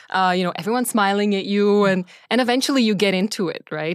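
A woman with a Czech accent talks at a very fast pace on a very clean recording with a silent background. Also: dry, close sound with no echo. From Czech Republic. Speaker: venture capital partner. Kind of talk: casual interview. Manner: hesitant, many fillers.

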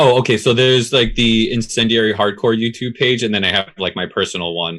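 A man speaks in a plain, everyday voice. His pitch is medium and his intonation fairly even. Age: 30s. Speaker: drummer in hardcore and metal bands. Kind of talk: casual interview chat.

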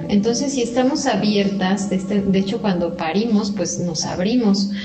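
A woman talks with fairly even intonation while noticeable background noise and audible room echo surround her. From Mexico, Querétaro. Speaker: transpersonal therapist. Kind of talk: interview.

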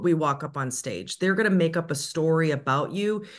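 The background is quiet as a woman talks at a moderate pace. Her pitch is fairly low, with ordinary variation. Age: 40s. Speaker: media and public speaking coach. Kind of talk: interview. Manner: smiling while speaking.

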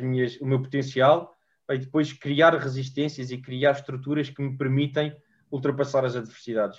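A man talks at a moderate pace. His voice is fairly high and somewhat breathy. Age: 20s. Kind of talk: interview. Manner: halting.

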